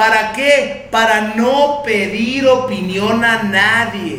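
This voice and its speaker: A man's high, raised and projected voice with lively intonation and a Mexican accent, amid audible room echo and noticeable background noise. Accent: Mexican Spanish (Jalisco). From Mexico, Guadalajara. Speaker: recovery group sponsor sharing testimony. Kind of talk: testimony.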